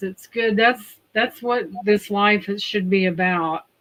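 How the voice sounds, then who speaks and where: With a Southern US accent, a woman talks at a fairly high pitch with fairly even intonation. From Indiana, US Midwest. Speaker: livestream host. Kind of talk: casual chat.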